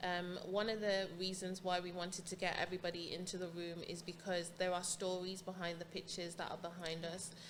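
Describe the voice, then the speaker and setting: A woman with a fairly low pitch speaks at a fairly quick pace with hardly any pauses, her intonation monotone and flat, over noticeable background noise. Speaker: podcast host. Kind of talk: interviewer questions.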